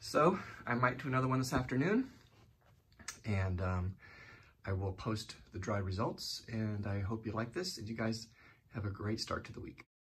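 A man speaks at a moderate pace with ordinary pitch variation and long, frequent pauses. His voice is somewhat breathy. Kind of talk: casual vlog chat. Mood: relaxed, mildly pleased. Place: home room. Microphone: phone near.

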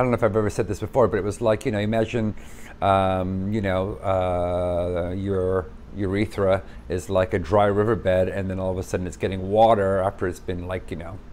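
Over light background noise, a man talks at a fairly quick pace in a very deep, low voice with fairly even intonation. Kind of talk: casual vlog chat. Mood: candid, earnest. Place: home room.

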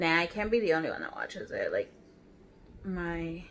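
A woman with an American accent at a fairly slow pace, over light background noise. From Texas. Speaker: beauty vlogger. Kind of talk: casual chat. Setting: at home. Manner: animated. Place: home room. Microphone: phone near.

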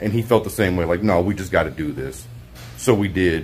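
Faint music plays in the background as a man with a very deep, low voice talks at a fairly quick pace. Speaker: motorcycle vlogger. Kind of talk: casual vlog chat. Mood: happy, relaxed. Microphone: phone near.

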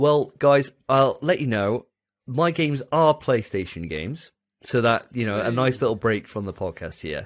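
With an English accent, a man speaks at a moderate pace and with lively intonation over a quiet background. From England. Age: 30s. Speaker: podcast host. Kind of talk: casual chat. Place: home room. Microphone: studio mic.

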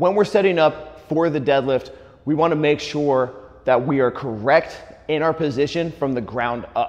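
Moderate-paced speech from a man. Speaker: fitness coach. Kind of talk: tutorial. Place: gym.

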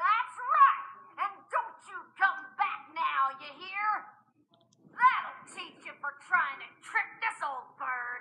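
In a loud, put-on character voice that sounds female, the speaker goes at a very slow pace with long, frequent pauses, an extremely high pitch and very wide pitch swings. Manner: loud, obnoxious, wisecracking.

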